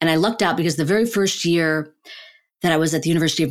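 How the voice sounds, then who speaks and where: This woman talks at a very fast pace in a Chicago accent. Her voice sits fairly low in pitch. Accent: General American, Chicago. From US Midwest, Chicago suburbs. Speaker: neuroscientist and author. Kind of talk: interview conversation.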